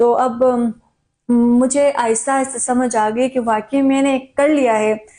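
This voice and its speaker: In a high voice with a dark, mellow tone, a woman speaks with very even loudness and monotone, flat intonation. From Nagar, Gilgit-Baltistan. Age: young. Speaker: media person, former FM radio host. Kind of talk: interview answer.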